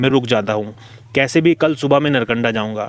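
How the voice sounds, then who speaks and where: Over music in the background, a man talks at a moderate pace with medium pitch and ordinary pitch variation. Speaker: horror storyteller / podcast host. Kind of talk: horror story narration in podcast style, casual storytelling. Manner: conversational, engaging, suspenseful.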